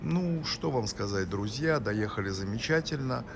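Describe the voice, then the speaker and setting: A man's fairly low voice with lively intonation and audible room echo. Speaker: vlogger. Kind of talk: travel vlog. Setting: airport. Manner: soft-spoken; halting.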